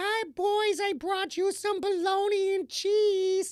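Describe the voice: Squeaky and extremely high, a put-on character voice speaks at a fairly slow pace.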